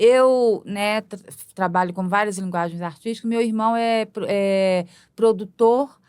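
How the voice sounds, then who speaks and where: A woman with a fairly high pitch speaks very slowly with fairly even intonation in a very clean recording with a silent background. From Brazil, Belo Horizonte (Minas Gerais). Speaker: multimedia artist and performer. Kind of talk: podcast interview. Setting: studio. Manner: halting.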